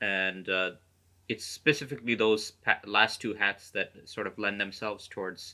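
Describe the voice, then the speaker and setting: A man's bright, sharp tone at a fairly low pitch, with an American accent and a fairly slow pace. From United States. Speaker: career coach and author. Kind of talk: podcast interview. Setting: video call. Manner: hesitant, many fillers.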